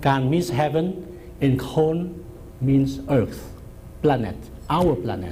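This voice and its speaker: Amid audible room echo, a man with a Vietnamese accent speaks at a very slow pace with lively intonation. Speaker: professor. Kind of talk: lecture.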